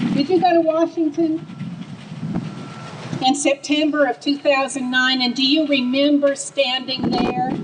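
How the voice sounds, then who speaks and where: Against noticeable background noise, a woman with an American accent talks at a fairly slow pace in a high pitch, leaving long, frequent pauses. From US South, Atlanta. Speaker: grassroots political activist. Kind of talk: rally speech. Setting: outdoor rally stage with crowd. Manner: animated.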